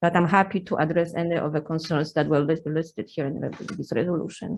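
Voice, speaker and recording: Speaking at a very fast pace with a Polish accent, a woman with a fairly low pitch shows ordinary pitch variation. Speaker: university administrator. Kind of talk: legislative testimony. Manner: halting.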